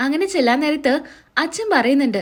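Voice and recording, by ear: Her pitch is high and her intonation lively. The woman keeps a moderate pace.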